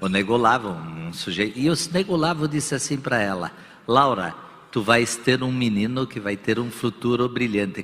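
Lively in intonation, a man with a normal speaking voice and medium pitch talks at a moderate pace. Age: 60s. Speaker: business executive. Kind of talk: on-stage interview. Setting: stage with audience.

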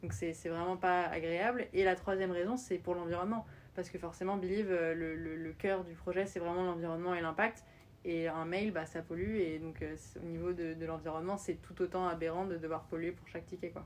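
A plain, everyday voice at a fairly quick pace, with fairly even intonation. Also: woman, fairly low pitch for a woman. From France. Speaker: startup founder. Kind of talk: interview.

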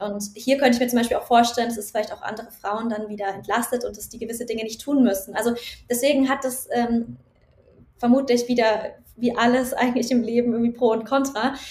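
Her intonation holds fairly even. The woman talks at a very fast pace. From Germany, Nuremberg area. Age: 30s. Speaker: doctoral researcher and founder. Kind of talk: interview. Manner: hesitant, many fillers.

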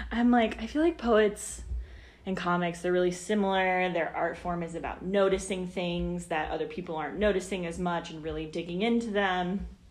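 A woman's medium-pitched voice with an American accent, fairly even intonation and audible room echo. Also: moderate pace. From Kansas City area, US Midwest. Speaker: poet and writer. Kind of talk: casual chat. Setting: podcast recording venue.

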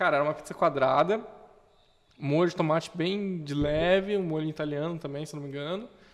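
A man with a normal speaking voice talks at a fairly quick pace and fairly high pitch, his intonation fairly even but his loudness swinging widely. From Brazil, Curitiba. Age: 20s. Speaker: entrepreneur, craft beer and restaurant owner. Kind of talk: casual chat.

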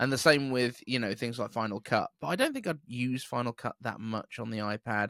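A man with a British accent, at a medium pitch with ordinary pitch variation and a bright, sharp tone, at a fairly quick pace with hardly any pauses, in a dry, close, very clean recording with no echo and a silent background. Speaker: podcast host. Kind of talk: casual chat.

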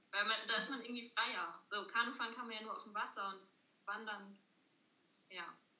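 A woman with fairly high pitch talks at a fairly quick pace with fairly even intonation, but with long, frequent pauses. Her loudness swings widely, and room echo is audible. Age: 20s. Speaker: law trainee, former scout. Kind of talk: casual interview chat. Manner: hesitant, many fillers.

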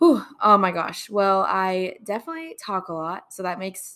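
A woman with a Texas accent speaks at a moderate pace and medium pitch, her tone bright, sharp and animated. The recording is very clean with a silent background. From Texas Gulf Coast. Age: 20s. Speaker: podcast host, college student. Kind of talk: faith podcast monologue. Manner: animated, giggly; hesitant with fillers.

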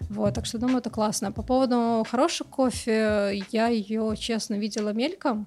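A woman's fairly high voice, a normal speaking voice, with fairly even intonation, moderate pace and hardly any pauses. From Moscow, Russia. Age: young. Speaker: coffee book editor and coordinator. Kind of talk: casual chat.

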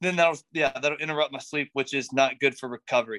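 A man's fairly high voice with an American accent, bright and sharp in tone, fairly even in intonation, on a very clean recording with a silent background. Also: dry, close sound with no echo. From North Carolina. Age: 20s. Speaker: CrossFit athlete. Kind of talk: casual interview chat.

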